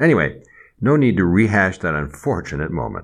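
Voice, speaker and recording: A man with an American accent speaks with vocal fry. His pitch swings very widely. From US Midwest. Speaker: podcast co-host. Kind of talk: storytelling and comedic banter.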